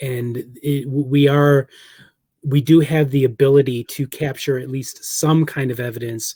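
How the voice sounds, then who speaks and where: A man speaks at a fairly slow pace in a somewhat breathy voice with a dark, mellow tone and fairly even intonation. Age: 40s. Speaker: paranormal researcher and author. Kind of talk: casual interview chat.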